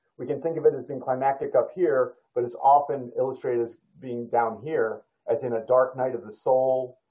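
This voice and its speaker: Here a man talks with an American accent at a moderate pace. He has an ordinary speaking voice. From United States. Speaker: creative writing workshop instructor. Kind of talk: writing workshop lecture. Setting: video call.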